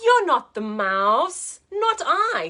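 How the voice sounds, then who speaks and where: A woman's put-on character voice at an extremely high pitch, with very wide pitch swings. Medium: read story.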